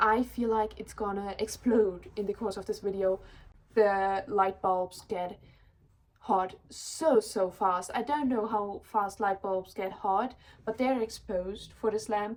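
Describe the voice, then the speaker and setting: Speaking at a moderate pace, a woman with a German accent has a medium pitch. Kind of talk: casual chat.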